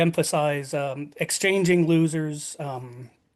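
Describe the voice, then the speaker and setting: A man's high-pitched voice with ordinary pitch variation, at a very slow pace. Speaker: bridge instructor. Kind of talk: lecture. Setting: video call. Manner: halting, many fillers.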